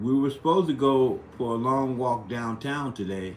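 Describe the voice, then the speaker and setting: Fairly slow male speech in an American accent, with audible room echo. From US Midwest, St. Louis. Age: 60s. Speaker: live streamer. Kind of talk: casual chat. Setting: live stream. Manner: halting.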